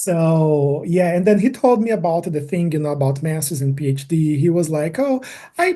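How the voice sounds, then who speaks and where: A man's dark, mellow voice in a fairly high pitch, with a Brazilian Portuguese accent, lively intonation and a moderate pace. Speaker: environmental engineering PhD. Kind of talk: casual interview. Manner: halting.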